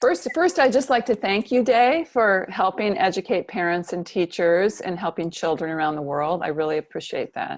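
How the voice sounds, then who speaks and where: Speaking at a moderate pace with hardly any pauses, a woman with an American accent uses lively intonation at a medium pitch against a quiet background. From US, Central California. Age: 60s. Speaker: psychotherapist and author. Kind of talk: interview.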